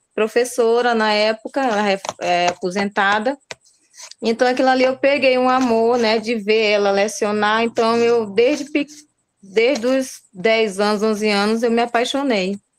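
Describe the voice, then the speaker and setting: A woman speaks at a moderate pace, her fairly high voice carrying fairly even intonation and very even loudness. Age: 40s. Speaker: pedagogy student. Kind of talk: class self-introduction.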